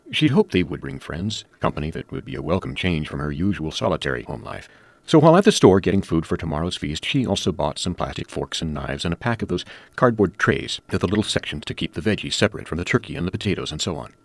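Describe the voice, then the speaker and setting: A man with a very deep, low pitch and vocal fry talks at a very fast pace, with lively intonation and big swings in loudness. The sound is dry and close with no echo, on a very clean recording with a silent background. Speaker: story contributor. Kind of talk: reading aloud.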